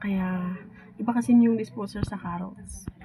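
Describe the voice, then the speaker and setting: A woman is heard over noticeable background noise. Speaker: farmer vlogger. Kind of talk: casual vlog. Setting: beside a vehicle, roadside.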